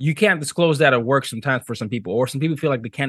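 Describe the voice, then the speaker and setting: The sound is dry and close, without any echo. A man races along at a very fast pace, his pitch varying in an ordinary way. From Nigeria, Lagos. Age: young. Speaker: diversity consultant and professor. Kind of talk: interview.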